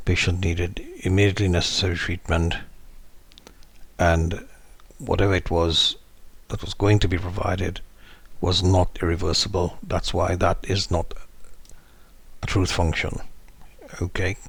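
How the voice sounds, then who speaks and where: A man talks in a very deep, low, somewhat breathy voice with monotone, flat intonation and long, frequent pauses. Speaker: legal educator on mental health law. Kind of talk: tutorial. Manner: slow.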